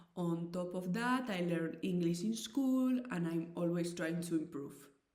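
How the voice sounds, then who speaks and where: The woman's voice has a dark, mellow tone, and audible room echo hangs around it. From Spain, Basque Country. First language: Basque and Spanish. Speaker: volunteer language conversation presenter. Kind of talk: scripted presentation.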